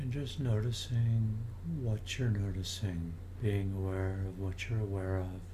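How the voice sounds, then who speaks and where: A man at a fairly slow pace, fairly low in pitch, with fairly even intonation and a calm tone, amid noticeable background noise. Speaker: meditation teacher. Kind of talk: guided meditation. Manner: slow, soft-spoken, calm and unhurried with long pauses; gentle, inviting, soothing tone.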